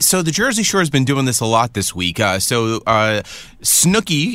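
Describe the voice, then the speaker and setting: With a bright, sharp tone, a man speaks at a moderate pace. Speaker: entertainment news podcast co-host. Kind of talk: casual chat.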